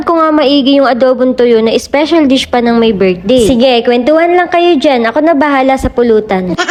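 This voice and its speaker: A woman speaks fairly quickly in a high voice with ordinary pitch variation. Background noise is noticeable. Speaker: vlogger. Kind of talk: vlog narration. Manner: calm.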